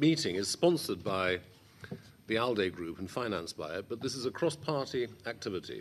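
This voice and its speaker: The pace is moderate, with long, frequent pauses. Loudness swings a lot, and the pitch moves in very wide swings. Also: man. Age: 60s. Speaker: MEP chairing hearing. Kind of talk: formal hearing chairing.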